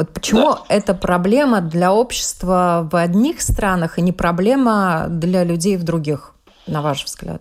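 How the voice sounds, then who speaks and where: This woman has an unremarkable speaking voice. Her pitch is medium, with ordinary pitch variation. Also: fairly slow pace. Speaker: radio journalist host. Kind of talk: radio interview.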